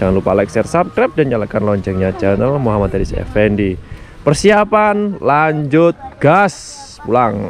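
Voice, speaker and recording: A man speaks at a moderate pace, the sound dry with no echo and faint music playing in the background. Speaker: car vlogger. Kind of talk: casual vlog chat. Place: open country. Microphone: phone near.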